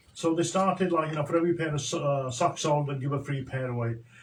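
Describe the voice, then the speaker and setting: A man with a fairly high pitch at a fairly quick pace, over noticeable background noise. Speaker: social entrepreneur. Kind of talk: radio interview.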